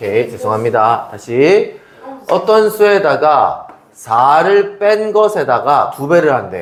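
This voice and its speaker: A man talks very slowly in a fairly high voice with very wide pitch swings. Audible room echo and noticeable background noise surround him. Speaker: math tutor. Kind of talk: tutoring lesson. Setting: classroom at math academy, recorded. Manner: casual, informal.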